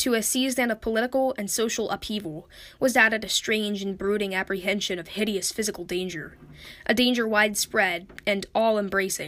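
A woman talks at a fairly quick pace with fairly even intonation. Hers is a plain, everyday voice of medium pitch. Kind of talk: literary audiobook reading of a Lovecraft horror story, after a spoken intro.

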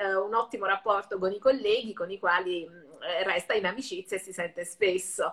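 Speaking in an Italian accent at a very fast pace, a woman's voice shows big swings in loudness. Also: medium pitch for a woman, fairly even intonation. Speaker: web show host and interpreter. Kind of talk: interview.

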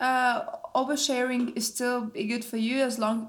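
This woman has a high-pitched voice. She talks at a fairly slow pace. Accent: Russian. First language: Russian. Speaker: university student podcast host. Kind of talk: casual chat.

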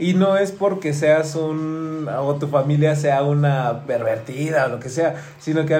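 Amid noticeable background noise and audible room echo, a man talks in a fairly high voice with ordinary pitch variation. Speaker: podcast host. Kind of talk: casual chat.

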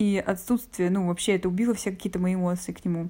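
A woman of medium pitch speaks at a fairly quick pace, somewhat breathy and with ordinary pitch variation. The recording is very clean, with a silent background. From Russia, Saint Petersburg. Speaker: interviewee sharing a personal story. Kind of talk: personal storytelling.

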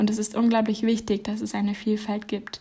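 On a very clean recording with a silent background, a woman speaks in a somewhat breathy voice with monotone, flat intonation. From Germany. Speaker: podcaster. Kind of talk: reflective essay monologue.

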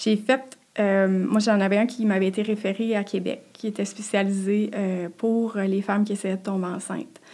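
A woman speaks in a monotone, flat intonation at a medium pitch. Her tone is dark and mellow. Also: moderate pace. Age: 30s. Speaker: podcast guest sharing infertility story. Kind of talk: personal testimony. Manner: halting, many repetitions and fillers.

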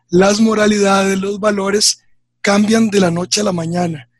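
Speaking at a fairly slow pace, a man's voice sits high in pitch. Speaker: researcher. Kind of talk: radio interview. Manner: formal.

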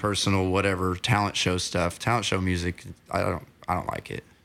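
With an American accent, a man talks in a normal speaking voice at a fairly low pitch and a moderate pace. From Oklahoma (Ada). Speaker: musician and songwriter. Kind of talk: casual interview chat. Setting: home recording studio.

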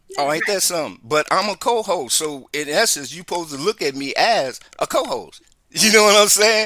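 Raising and projecting his voice, a man talks at a fairly quick pace with a high pitch, a bright, sharp tone, and lively intonation. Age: 60s. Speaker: radio DJ and co-host. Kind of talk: casual radio talk show.

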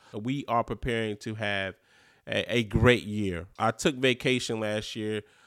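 In an American accent, a man talks at a fairly low pitch with monotone, flat intonation. The recording is very clean with a silent background and a dry, close sound with no echo. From North Carolina. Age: 30s. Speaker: podcast host. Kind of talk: casual monologue.

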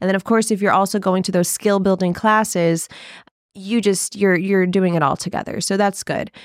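A woman with an American accent speaks at a moderate pace and medium pitch on a very clean recording with a silent background. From small-town Texas. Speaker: professional shuffle dancer and dance teacher. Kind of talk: casual podcast interview. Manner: animated.

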